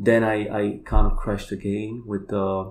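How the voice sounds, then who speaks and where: Delivered at a fairly slow pace with fairly even intonation, the speech carries audible room echo. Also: man. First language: Polish. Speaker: kambo practitioner and healer. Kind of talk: casual chat.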